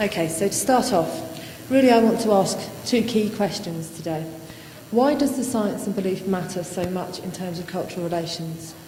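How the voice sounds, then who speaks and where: Over noticeable background noise and audible room echo, a woman speaks softly at a moderate pace. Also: medium pitch for a woman, ordinary pitch variation. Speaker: academic conference speaker. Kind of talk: conference talk. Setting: lecture hall with audience. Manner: soft-spoken.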